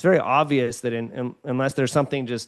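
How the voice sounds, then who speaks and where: At a fairly quick pace, a man with a medium-pitched voice speaks with ordinary pitch variation. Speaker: student loan advisor, company founder. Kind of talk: podcast interview. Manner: fast; energetic.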